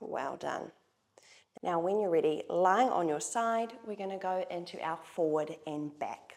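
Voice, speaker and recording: A woman speaks in a normal speaking voice at a medium pitch. Her pace is fairly slow, with ordinary pitch variation. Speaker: Pilates instructor. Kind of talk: guided workout instruction. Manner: calm, encouraging.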